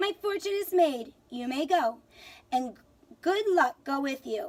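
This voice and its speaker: A woman does a put-on character voice, high-pitched with lively intonation. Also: fairly slow pace. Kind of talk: bedtime story. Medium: read story. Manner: cocky.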